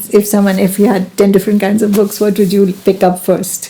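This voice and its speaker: Over noticeable background noise, a woman speaks fairly quickly in a medium pitch. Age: 70s. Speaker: spiritual elder. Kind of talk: casual chat.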